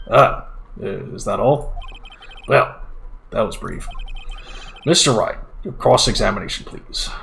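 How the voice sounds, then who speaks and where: In a raspy, put-on character voice, a man speaks at a fairly slow pace with long, frequent pauses over clear background noise. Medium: game stream. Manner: formal, officious.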